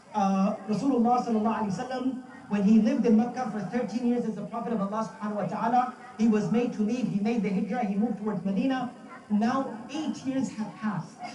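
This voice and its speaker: A man with an American accent speaks at a very fast pace and high pitch in an animated tone. Noticeable background noise and audible room echo fill the recording. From US, Brooklyn, New York, with Pakistani family roots. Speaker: Islamic scholar giving a religious talk. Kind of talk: sermon. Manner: animated, repetitive for emphasis.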